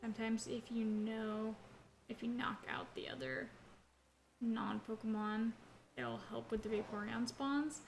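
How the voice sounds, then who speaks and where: With noticeable background noise behind her, a woman of fairly high pitch speaks at a fairly slow pace with long, frequent pauses and ordinary pitch variation. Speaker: gaming streamer. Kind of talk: live gameplay commentary. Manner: casual, filler-heavy.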